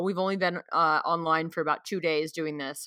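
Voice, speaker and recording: A woman with a fairly low pitch and a bright, sharp tone speaks at a moderate pace in a very clean recording with a silent background. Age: 30s. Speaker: podcast host and beauty entrepreneur. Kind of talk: casual monologue. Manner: halting, many fillers.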